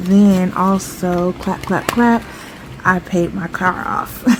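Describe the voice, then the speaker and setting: A woman of medium pitch, with noticeable background noise behind her. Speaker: budgeting vlogger. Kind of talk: casual vlog talk.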